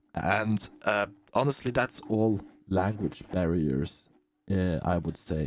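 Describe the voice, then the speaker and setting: A man with a non-native accent talks at a very slow pace, with a very deep, low pitch and lively intonation. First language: not English. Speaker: gaming streamer. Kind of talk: video commentary. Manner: halting, repeats words.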